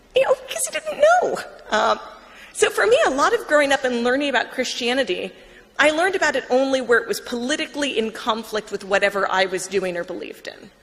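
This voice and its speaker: Against noticeable background noise, a woman with a high pitch talks at a very fast pace with very wide pitch swings. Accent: American. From US Northeast, Long Island, New York. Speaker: writer and former atheist blogger. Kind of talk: conversion talk to an audience. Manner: casual, with many fillers.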